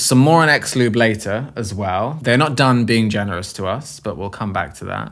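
Noticeable background noise accompanies a man at medium pitch who speaks at a moderate pace with ordinary pitch variation and hardly any pauses. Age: 30s. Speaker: podcast co-host and artist. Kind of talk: casual chat. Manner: animated.

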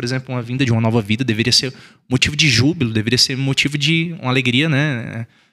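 Speaking at a very fast pace, a man uses a bright, sharp tone at medium pitch. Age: 20s. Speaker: teacher. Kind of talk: casual chat.

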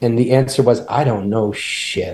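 Fairly even intonation comes through noticeable background noise. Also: man. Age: 50s. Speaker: company founder and CEO. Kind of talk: interview.

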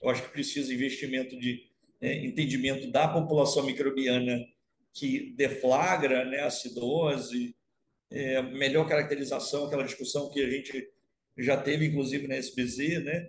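At a moderate pace, a man speaks with a somewhat breathy, fairly high voice and fairly even intonation. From Rio de Janeiro state, Brazil (Baixada Fluminense). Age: 50s. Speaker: university professor of animal science. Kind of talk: casual interview. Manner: halting, with many repetitions.

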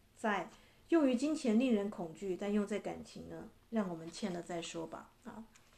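With a dark, mellow tone and lively intonation, a woman speaks at a medium pitch and moderate pace, her loudness swinging widely. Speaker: podcast host and relationship coach. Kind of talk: reading aloud own poetic book with commentary. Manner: gentle, measured.

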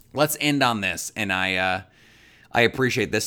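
A man with an American accent talks at a fairly quick pace in an animated, bright, sharp tone, medium in pitch with ordinary pitch variation, on a very clean recording with a silent background. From Milwaukee, Wisconsin. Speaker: sports podcast host. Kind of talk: solo sports podcast talk.

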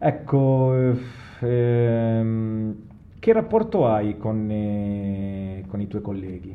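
Amid audible room echo and noticeable background noise, a man with a fairly low pitch speaks at a very slow pace with fairly even intonation. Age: 50s. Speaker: podcast host. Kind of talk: casual interview.

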